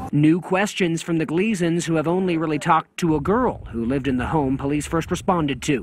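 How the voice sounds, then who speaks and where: Over a quiet background, a man with a normal speaking voice and a fairly high pitch talks at a fairly quick pace, with ordinary pitch variation and hardly any pauses. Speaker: TV news reporter. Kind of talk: scripted narration.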